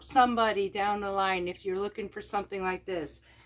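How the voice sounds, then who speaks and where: A woman at medium pitch and a moderate pace, in a very clean recording with a silent background. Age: 50s. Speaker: homesteader vlogger. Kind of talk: casual vlog talk. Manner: loud.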